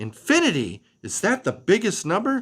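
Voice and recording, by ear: At a moderate pace, a man performs a put-on character voice, high-pitched with very wide pitch swings, a fairly bright tone and a slightly husky edge.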